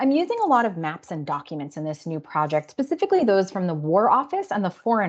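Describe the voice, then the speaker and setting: A woman at a fairly quick pace against a quiet background. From US, Brooklyn, New York. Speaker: professor. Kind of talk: lecture. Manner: fast.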